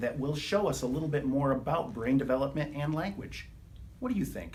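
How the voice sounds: A man talks at a medium pitch for a man. His intonation is lively and his pace moderate.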